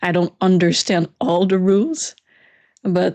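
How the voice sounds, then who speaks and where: In a Quebec French accent, a woman with a fairly low pitch speaks slowly in a flat monotone against a quiet background. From Quebec, Canada. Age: 20s. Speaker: youtuber. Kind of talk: live stream Q&A. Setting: live stream. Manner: casual, halting.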